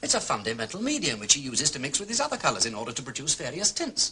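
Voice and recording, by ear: Putting on a character voice, a man talks fast at a medium pitch in a bright, sharp tone with very wide pitch swings.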